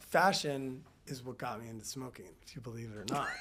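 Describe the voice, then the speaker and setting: Heard with audible room echo, a man with an American accent talks at a moderate pace and medium pitch. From US Midwest, St. Louis, Missouri. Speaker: model and brand founder. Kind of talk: interview conversation. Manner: halting, many restarts.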